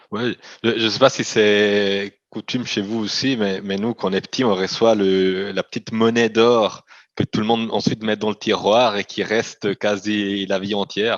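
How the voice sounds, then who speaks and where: With a slight Italian accent, the speaker goes at a fairly slow pace in a monotone, flat tone, the sound dry and close with no echo. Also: man, fairly low pitch for a man, quiet background. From Italian-speaking Switzerland. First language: Italian (speaking French). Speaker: company CEO. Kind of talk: interview. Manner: halting, frequent repetitions.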